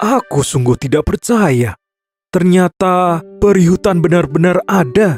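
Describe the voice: A man does a cartoonish character voice, high in pitch and fairly slow. Faint music plays in the background.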